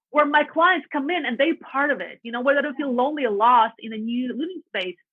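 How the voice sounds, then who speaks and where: A woman with a Russian accent speaks at a high pitch, her loudness swinging widely. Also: ordinary pitch variation, fairly quick pace. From Latvia. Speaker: real estate agent. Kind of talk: podcast interview. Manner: animated.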